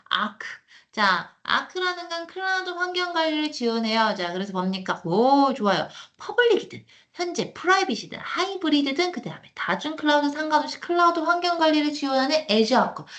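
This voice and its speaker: An animated woman talks at a fairly quick pace in a high pitch, with very wide pitch swings. Audible room echo surrounds her voice. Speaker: cloud computing instructor. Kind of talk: lecture. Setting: online live class with screen share. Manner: fast.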